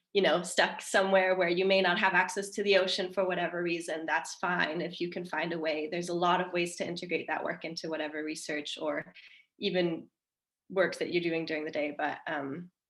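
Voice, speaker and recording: A woman speaks in a fairly low pitch with an American accent. Her intonation stays monotone and flat. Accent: American-sounding. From Denmark. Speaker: marine mammal researcher. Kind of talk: panel discussion.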